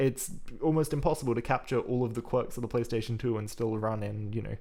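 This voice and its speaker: In an Australian accent, a man with a dark, mellow tone and medium pitch speaks at a fairly quick pace on a very clean recording with a silent background. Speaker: programming live streamer. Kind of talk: live coding stream chat. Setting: live stream. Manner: fast.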